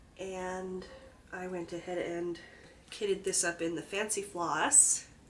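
Noticeable background noise accompanies a woman speaking at a fairly slow pace. Her medium-pitched voice keeps a fairly even intonation. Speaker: cross-stitch crafter. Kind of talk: casual talk to camera.

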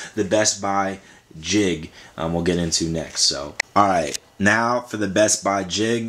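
A man talks with a fairly low pitch and ordinary pitch variation. Noticeable background noise sits behind him. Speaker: vlogger. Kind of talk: casual vlog chat. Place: home room.

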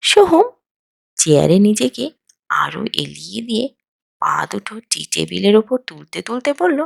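Against a quiet background, a passage is heard reading aloud in a natural voice.

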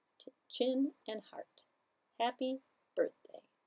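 Here is a woman's voice. Her tone is dark and mellow. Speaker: library story time host. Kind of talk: children's story time reading. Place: studio.

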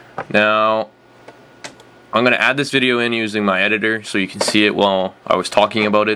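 Light background noise sits behind a man's fairly low voice. He talks at a fairly quick pace with monotone, flat intonation. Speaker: gamer making tutorial. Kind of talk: tutorial.

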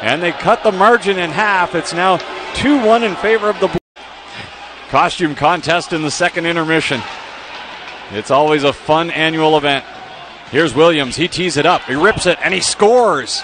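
Over noticeable background noise, a man with a high pitch and ordinary pitch variation speaks with long, frequent pauses in a dry sound with no echo. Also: moderate pace. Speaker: hockey play-by-play announcer. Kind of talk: live sports commentary, play-by-play of a hockey game. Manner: builds excitement on fights and goals. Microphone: headset.

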